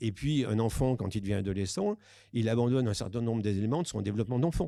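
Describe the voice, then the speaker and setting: The man's voice has a dark, mellow tone at a medium pitch. His pitch varies in an ordinary way. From southern France. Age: 60s. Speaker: psychiatrist and sexologist. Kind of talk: conference talk. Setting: conference with audience. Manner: hesitant, many fillers.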